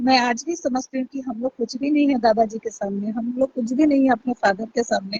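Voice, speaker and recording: A woman speaks with a high pitch and fairly even intonation. She takes hardly any pauses. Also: moderate pace. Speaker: YouTube livestreamer. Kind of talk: live stream talk to viewers. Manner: loud.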